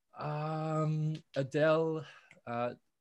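Against a quiet background, a man with an Australian accent talks at a fairly high pitch. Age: 20s. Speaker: independent musician. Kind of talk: casual interview.

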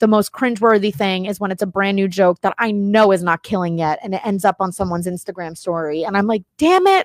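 A woman speaks very fast with hardly any pauses and fairly even intonation, in a dry, close sound with no echo. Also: medium pitch for a woman. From Miami. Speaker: stand-up comedian. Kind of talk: casual chat.

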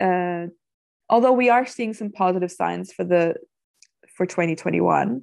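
Pausing long and often, a woman with a Danish accent speaks at a moderate pace and medium pitch, her pitch varying in an ordinary way. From Denmark, Copenhagen area. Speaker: wine tour business owner. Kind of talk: interview.

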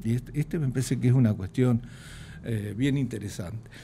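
This very clean recording has a silent background. The voice carries a dark, mellow tone. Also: man. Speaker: economist, retired professor. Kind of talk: interview.

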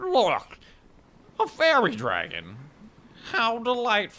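The put-on character voice unfolds at a very slow pace. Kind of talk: stilted, overly polite. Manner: affected, odd, delighted.

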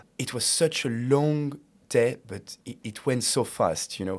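A man speaks with a French accent. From France. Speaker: student podcast host. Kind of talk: casual interview.

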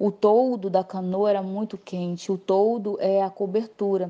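A woman speaks at a fairly slow pace in a monotone, flat intonation. Her medium-pitched voice has a dark, mellow tone. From Brazil, Acre (Tarauacá). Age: 30s. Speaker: visual artist. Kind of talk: interview testimony. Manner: halting, many fillers.

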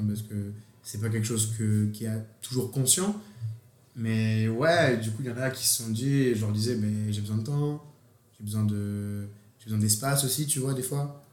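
Through audible room echo and noticeable background noise, a man speaks at a moderate pace and medium pitch with fairly even intonation. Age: 20s. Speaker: university student. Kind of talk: casual conversation.

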